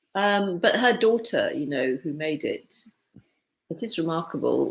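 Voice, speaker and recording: A woman with a British accent talks at a fairly slow pace with vocal fry. Her pitch swings very widely. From East Africa (Tanganyika). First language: Swahili. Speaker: author and publisher. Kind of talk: casual interview conversation.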